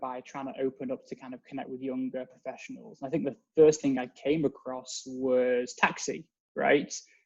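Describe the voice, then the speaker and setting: Talking at a fairly quick pace, a man speaks with an English accent. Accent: English accent, noticeable. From England. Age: 30s. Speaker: synagogue member. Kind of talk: casual interview.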